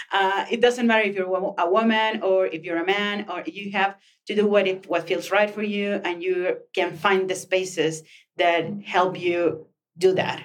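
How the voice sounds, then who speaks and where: Someone with a Mexican accent speaks at a fairly slow pace with fairly even intonation. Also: woman, medium pitch for a woman. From northern Mexico, Chihuahua. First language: Spanish. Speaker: co-working space communications manager and author. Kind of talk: interview. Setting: podcast room at a co-working space.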